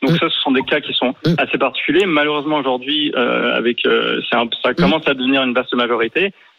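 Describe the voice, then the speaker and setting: Moving at a fairly quick pace, a man talks with hardly any pauses. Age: 30s. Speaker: radio caller. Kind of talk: call-in discussion. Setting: phone call.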